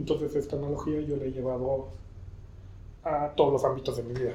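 In a Mexico City accent, a man with a fairly high pitch talks at a moderate pace with fairly even intonation, and the room echo is audible. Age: 30s. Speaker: podcast host. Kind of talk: casual monologue. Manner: halting.

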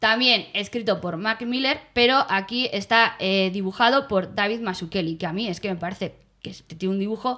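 Bright and sharp in tone, a woman talks at a moderate pace in a medium pitch, sounding animated, with ordinary pitch variation. The recording is very clean, with a silent background. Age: 30s. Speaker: podcast co-host. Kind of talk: casual chat.

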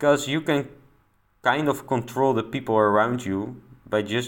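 Fairly even in intonation, a man with a non-native accent talks at a moderate pace. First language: not English. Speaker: personal development podcaster. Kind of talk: solo monologue podcast.

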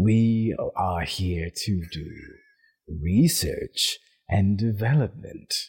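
A man puts on a character voice at a fairly low pitch. He goes at a very slow pace with long, frequent pauses. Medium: actual play.

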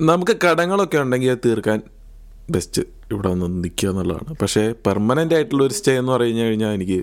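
Very wide swings in pitch from a man with a mid-range voice. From Palakkad, Kerala. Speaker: podcast host, student. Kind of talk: casual chat.

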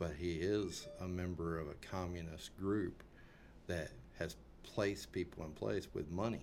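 A man speaks at a fairly slow pace with a very deep, low pitch, leaving long, frequent pauses. Music plays in the background, and room echo is audible. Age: 50s. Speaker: political commentator. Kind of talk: casual chat.

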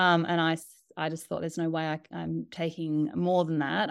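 In a very clean recording with a silent background, a woman with an Australian accent speaks at a fairly quick pace in a very deep, low pitch. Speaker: doula and author. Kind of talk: interview conversation.

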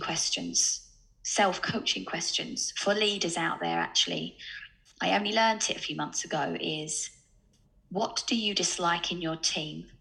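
Speaking in an Essex accent, a woman keeps a moderate pace. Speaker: sales coach and startup co-founder. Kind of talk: casual interview chat.

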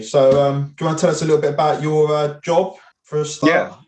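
A man with a British accent speaks at a fairly high pitch, somewhat breathy, with fairly even intonation. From UK. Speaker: podcast host. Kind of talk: casual chat.

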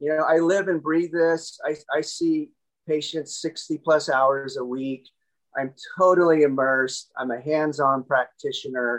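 Fairly slow pace from a man with an unremarkable speaking voice and a fairly high pitch. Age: 50s. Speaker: chiropractor / spine doctor and author. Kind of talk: interview.

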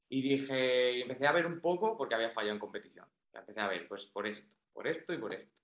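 Very fast delivery with lively intonation. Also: man, medium pitch for a man. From Spain, Toledo. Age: 20s. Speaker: powerlifter. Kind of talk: casual chat.

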